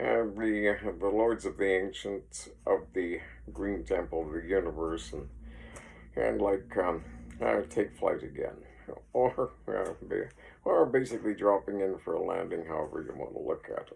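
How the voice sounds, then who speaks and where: A man with a Canadian Prairie accent speaks at a moderate pace. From Saskatchewan, Canada. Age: 60s. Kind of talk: casual rambling talk to camera. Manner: hesitant, many fillers.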